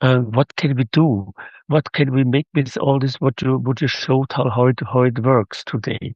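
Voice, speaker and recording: The speaker has a German accent and fairly even intonation. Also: man, medium pitch for a man, moderate pace, very even loudness. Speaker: audience member asking a question. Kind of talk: audience question. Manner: halting.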